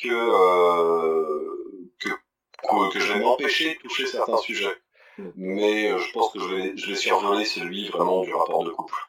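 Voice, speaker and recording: A man speaks at a very slow pace. His pauses are long and frequent. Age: 30s. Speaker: corporate trainer in conflict management. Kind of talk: interview. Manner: halting, many repetitions and hesitations.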